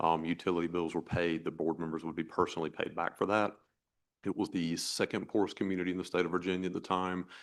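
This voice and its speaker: A man with an American accent talks at a very fast pace. His very deep, low voice stays monotone and flat. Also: quiet background. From eastern North Carolina. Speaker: job candidate, town administrator. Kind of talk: job interview.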